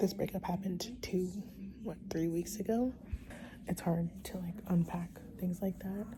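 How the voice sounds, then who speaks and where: The speaker talks at a fairly slow pace. Noticeable noise sits in the background. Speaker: vlogger. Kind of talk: casual vlog talk to camera. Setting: at home at night.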